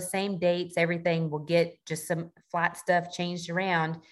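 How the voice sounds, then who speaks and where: Speech proceeds at a moderate pace. It is delivered in a Southern US accent. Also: woman. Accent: Southern US (Georgia). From US South, south Georgia. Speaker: Navy sailor and duck hunter. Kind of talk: casual interview chat.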